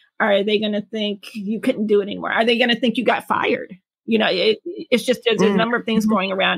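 Speaking very fast with an American accent, a woman uses a fairly high, somewhat breathy voice and fairly even intonation. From Detroit, Michigan, US Midwest. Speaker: parent, writer. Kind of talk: interview.

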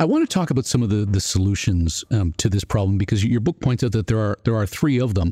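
The voice is somewhat breathy with a dark, mellow tone and lively intonation. It runs at a very fast pace with hardly any pauses and very even loudness. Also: man, fairly low pitch for a man, dry, close sound with no echo. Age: 50s. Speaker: podcast host. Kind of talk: interview.

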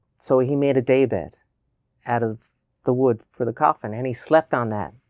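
This man speaks in a Newfoundland accent. His pitch is medium, with ordinary variation. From Newfoundland, Canada. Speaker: novelist and poet. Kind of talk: interview. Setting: studio.

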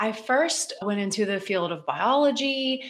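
Woman with an American accent, fairly high in pitch, lively intonation at a moderate pace, against noticeable background noise. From West Virginia. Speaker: dietitian. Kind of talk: casual interview chat.

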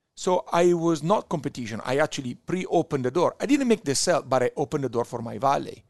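A man with an Italian accent at a fairly high pitch, very fast and with hardly any pauses, with lively intonation. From Italy, Verona. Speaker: wine importer. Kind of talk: casual chat. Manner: animated storyteller.

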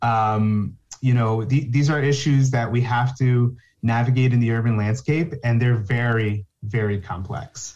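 With an American accent, a man speaks at medium pitch in a somewhat breathy voice and fairly even intonation. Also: fairly slow pace. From New Jersey, North Bergen (Hudson County). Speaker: conservation scientist. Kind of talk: interview.

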